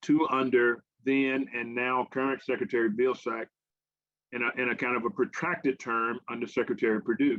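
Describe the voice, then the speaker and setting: With a Southern US accent, a man talks at a medium pitch. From US South, Arkansas. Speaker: government agricultural advisor. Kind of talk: invited talk to a farmers' forum. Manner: halting, many fillers and repeats.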